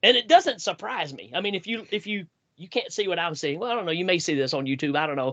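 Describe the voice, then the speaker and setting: A man with a Southern US accent speaks at a high pitch. His tone is bright and sharp, and his intonation is lively. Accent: Southern US drawl. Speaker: podcast host. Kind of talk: casual chat.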